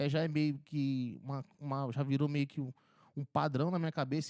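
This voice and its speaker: On a very clean recording with a silent background and a dry, close sound with no echo, a man speaks at a fairly high pitch and moderate pace. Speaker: audio engineering tutor. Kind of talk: tutorial. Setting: mixing console demo. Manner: casual.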